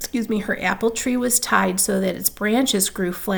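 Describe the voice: Someone is doing plain reading aloud. Their pitch moves in an ordinary way.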